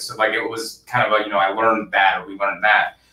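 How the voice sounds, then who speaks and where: His tone is bright and sharp. The man's voice carries audible room echo. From Michigan, US. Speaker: accounting firm founder. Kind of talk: interview. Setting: video call. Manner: hesitant with many fillers. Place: office. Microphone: webcam.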